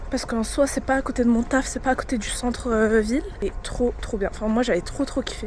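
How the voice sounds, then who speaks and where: A woman speaks over noticeable background noise. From France. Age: 20s. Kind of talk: casual vlog talk to camera.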